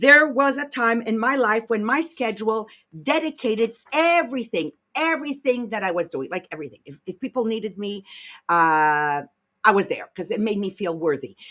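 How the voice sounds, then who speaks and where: With a French Canadian accent, the voice has a bright, sharp, animated tone, very wide pitch swings and big swings in loudness. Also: woman, fairly high pitch for a woman, moderate pace. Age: 60s. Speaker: podcast host and leadership coach. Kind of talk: casual chat; motivational talk.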